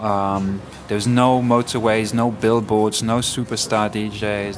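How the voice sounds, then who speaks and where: Over noticeable background noise, a man talks at a very slow pace and fairly low pitch in a monotone, flat way. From Ibiza, Spain. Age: 40s. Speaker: DJ and music curator. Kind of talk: interview. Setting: cafe.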